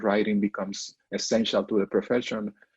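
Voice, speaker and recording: Over a quiet background, a man with a Mexican accent speaks at a fairly quick pace. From northern Mexico. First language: Spanish. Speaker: professor. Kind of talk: interview. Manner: halting.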